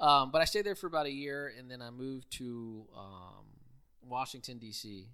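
Recorded very cleanly against a silent background, a man with an American accent talks in a bright, sharp tone with lively intonation and big swings in loudness. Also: medium pitch for a man, moderate pace. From Houston, Texas (Richmond/Rosenberg area). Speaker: guest, former political worker. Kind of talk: interview.

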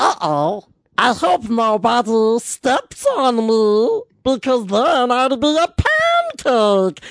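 In a put-on character voice, a female-sounding speaker talks at a very slow pace with a high pitch.

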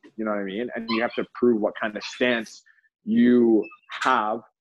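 With a Canadian accent, this man has an unremarkable speaking voice. He talks at a moderate pace and medium pitch. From Canada (Toronto). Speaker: professional soccer player. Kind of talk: casual chat. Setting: video call.

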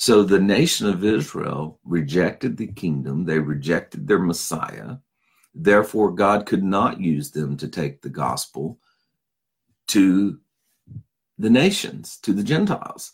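A man speaks fairly slowly in a fairly low voice with vocal fry. His pitch swings very widely. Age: 50s. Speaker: pastor and Bible teacher. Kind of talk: Bible teaching. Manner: casual, with fillers.

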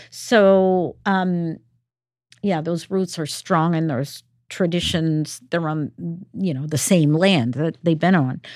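The speaker moves at a very slow pace with ordinary pitch variation on a very clean recording with a silent background. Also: woman, fairly low pitch for a woman. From Peru. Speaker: theater director. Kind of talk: casual interview.

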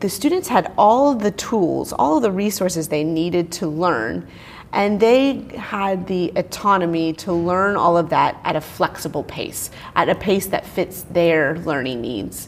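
With an unremarkable speaking voice, a woman talks at a fairly slow pace, her medium pitch lifted by lively intonation. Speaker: science teacher and instructional specialist. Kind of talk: interview. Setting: conference.

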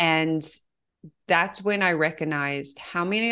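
Against a quiet background, a woman with an American accent and an ordinary speaking voice talks fairly slowly at a fairly low pitch with ordinary pitch variation. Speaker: mind body coach. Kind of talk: interview conversation.

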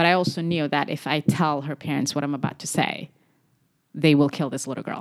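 Speaking at a fairly quick pace, a woman with a very deep, low pitch holds a monotone, flat intonation in a very clean recording with a silent background. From Somali community, Twin Cities, US. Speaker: physician. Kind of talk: interview conversation.

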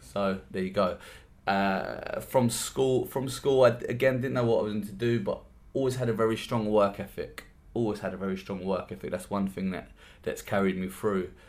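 The speaker talks at a moderate pace in a London accent. Pitch variation is ordinary. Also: man, fairly low pitch for a man. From South East London, Lewisham. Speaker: podcast host and workshop trainer. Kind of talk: solo podcast monologue. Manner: animated, with frequent repeated words.

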